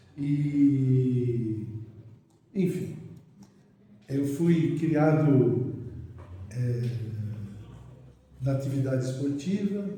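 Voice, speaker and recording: Room echo is audible around a man's fairly high voice. His pitch varies in an ordinary way. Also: long, frequent pauses. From Brazil, São Paulo (Mooca). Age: 70s. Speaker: physician. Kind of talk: interview.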